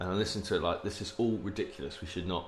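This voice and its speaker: A man's fairly low voice in an English accent, with fairly even intonation. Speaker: podcast co-host. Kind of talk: casual banter. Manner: joking, playful.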